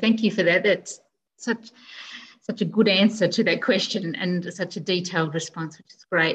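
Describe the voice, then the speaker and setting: Speaking at a moderate pace with an Australian accent, a woman sounds somewhat breathy, and her pitch varies in an ordinary way. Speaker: librarian host. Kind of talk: online event moderation. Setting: video call. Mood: warm, appreciative. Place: home room. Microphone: video call.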